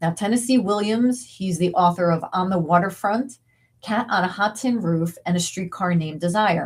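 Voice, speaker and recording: Somewhat breathy, a woman talks at a medium pitch that shifts in an ordinary way. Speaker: video essayist narrating diary entries. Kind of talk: narrated commentary. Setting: home office. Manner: casual, conversational.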